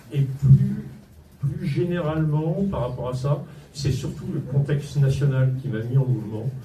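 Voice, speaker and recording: A man speaks at a fairly slow pace in a somewhat breathy, dark, mellow tone, fairly high in pitch with ordinary variation. Audible room echo surrounds the voice. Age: 60s. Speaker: local political candidate, entrepreneur. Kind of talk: campaign speech. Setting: campaign office opening, live audience. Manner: hesitant, many fillers.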